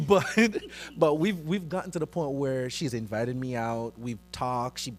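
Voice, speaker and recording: A man keeps up a fairly quick pace while music plays behind him. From Jamaica. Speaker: church youth ministry member. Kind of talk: panel discussion.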